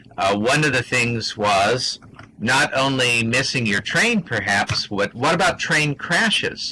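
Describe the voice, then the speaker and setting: A man talks at a very slow pace while noticeable background noise carries on behind him. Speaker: science discussion presenter. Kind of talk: interactive lecture. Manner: halting, many fillers.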